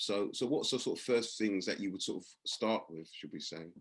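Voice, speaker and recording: Speaking at a moderate pace, a man talks with a London accent. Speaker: meeting host. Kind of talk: interview on video call meeting. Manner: halting, stammering restarts.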